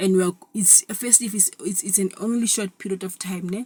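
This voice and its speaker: A somewhat breathy, dark and mellow voice with fairly even intonation. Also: woman. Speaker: vlogger. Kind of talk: casual monologue. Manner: halting, many repetitions.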